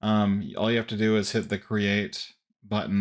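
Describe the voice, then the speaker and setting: A man with fairly low pitch, monotone, flat intonation and a fairly slow pace, on a very clean recording with a silent background. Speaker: tech reviewer. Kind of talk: tutorial. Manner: casual, conversational.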